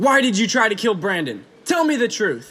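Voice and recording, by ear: A man puts on a character voice, high-pitched and bright, sharp in tone, with very wide pitch swings. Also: moderate pace.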